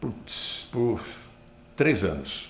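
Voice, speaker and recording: Vocal fry runs through the man's voice. The room gives off an audible echo. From northern Paraná, Brazil. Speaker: broadcaster and master of ceremonies. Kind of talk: interview. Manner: repetitive false starts.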